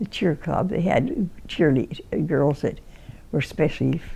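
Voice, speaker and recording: With an American accent, a woman talks at a fairly slow pace in a dark, mellow tone, her lively intonation carrying some vocal fry. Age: 80s+. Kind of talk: interview answer. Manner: hesitant, rambling.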